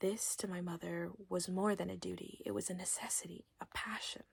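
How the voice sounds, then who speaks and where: The voice is soft-spoken and gentle in tone, moving at a moderate pace. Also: woman. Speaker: ASMR content creator. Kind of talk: ASMR bedtime story reading. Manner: soft-spoken, gentle.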